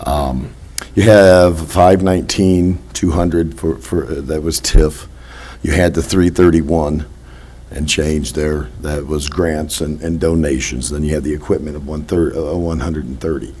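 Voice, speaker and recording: In a room with audible echo, a man with an American accent talks fairly slowly in a very deep, low voice with ordinary pitch variation. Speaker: village trustee. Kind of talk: public meeting Q&A. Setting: village board meeting.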